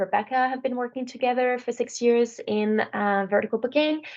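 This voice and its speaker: This woman speaks with a French accent. Her pitch variation is ordinary. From France. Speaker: software sales manager. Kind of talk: webinar presentation. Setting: online webinar.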